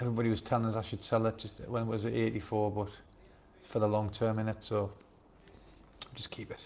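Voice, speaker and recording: A man in a Sunderland accent, fairly low in pitch, at a very fast pace with monotone, flat intonation and long, frequent pauses. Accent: Sunderland (Mackem) English. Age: 60s. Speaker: YouTube livestreamer, expat retiree. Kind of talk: casual live stream chat reading viewer comments. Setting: live stream from home.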